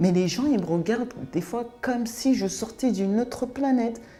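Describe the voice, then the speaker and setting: Noticeable background noise sits behind a woman's voice. Her pitch is fairly high and her intonation lively. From France (raised from age 5, born in Cameroon). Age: 40s. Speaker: interviewee sharing life story. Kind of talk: testimony interview. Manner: hesitant, many fillers.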